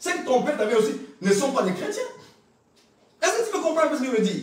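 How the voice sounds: The voice moves fast with big swings in pitch. Strong echo fills the room. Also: man, extremely high pitch for a man.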